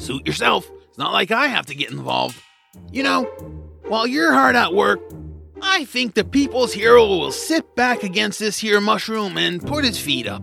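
Over faint music in the background, a man does a put-on character voice that is high-pitched, bright and sharp, with big pitch swings and vocal fry, at a moderate pace.

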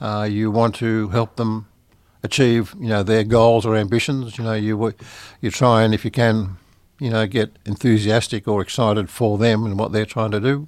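A man with an Australian accent speaks at a moderate pace in a medium pitch, his intonation flat and monotone. The recording is very clean, with a silent background. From Sydney, Australia. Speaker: recording studio owner, blind musician. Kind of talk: interview. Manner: halting, many fillers.

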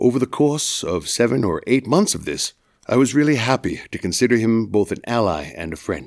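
This man speaks in an American accent at a medium pitch, with vocal fry. His pace is fairly quick, and his pitch swings very widely. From Massachusetts, US. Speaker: student storyteller. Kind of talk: personal storytelling performance.

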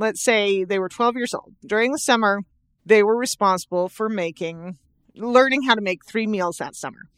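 A woman with an unremarkable speaking voice talks at a medium pitch with ordinary pitch variation against a quiet background. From Southern California. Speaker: parenting podcast co-host. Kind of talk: casual chat.

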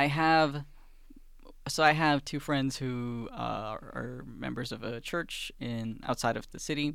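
At a very slow pace, a man with a medium pitch speaks with fairly even intonation on a very clean recording with a silent background. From Sweden, Finnish parents. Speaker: student radio board chairman. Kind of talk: casual chat.

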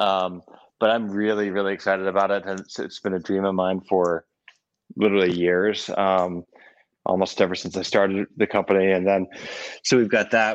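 Against a quiet background, a man with an American accent talks at a fairly quick pace and fairly low pitch in a monotone, flat intonation, with a dry, close sound and no echo. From Vermont, US. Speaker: salt maker and business founder. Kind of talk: casual interview chat. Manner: halting, many fillers.

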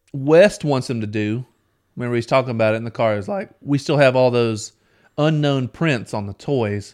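An unremarkable speaking voice at a moderate pace, ordinary pitch variation, very clean recording with a silent background. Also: man. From US South. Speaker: podcast co-host. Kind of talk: casual chat.

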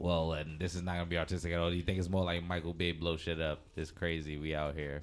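A man speaks with a New York accent. His pitch is very deep and low. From New York, Trinidadian family. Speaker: podcast co-host. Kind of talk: casual podcast conversation.

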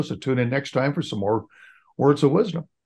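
A man talks in an unremarkable speaking voice with ordinary pitch variation. The background is quiet. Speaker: podcast co-host. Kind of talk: interview.

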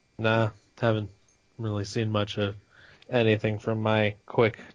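Speaking in a flat monotone at a fairly slow pace, a man with a fairly low pitch leaves long, frequent pauses. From California. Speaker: podcast host. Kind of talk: casual chat.

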